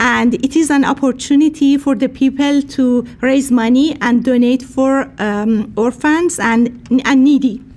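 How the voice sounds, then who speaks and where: Speaking with a Persian accent, a woman uses a high pitch, fairly even intonation and very even loudness at a fairly slow pace with hardly any pauses. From Iran. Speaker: peace activist and social worker. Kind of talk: speech at a rally. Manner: halting.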